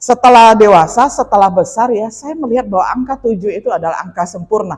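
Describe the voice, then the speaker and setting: Speaking at a fairly quick pace, a woman has a fairly high pitch. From Indonesia, West Kalimantan. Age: 50s. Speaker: pastor. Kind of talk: sermon with personal testimony. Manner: conversational, with fillers.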